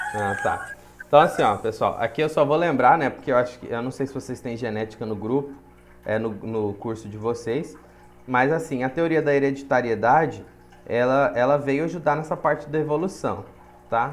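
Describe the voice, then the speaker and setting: With audible room echo, a man talks at a moderate pace in a fairly high pitch with ordinary pitch variation. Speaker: biology teacher. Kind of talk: lecture.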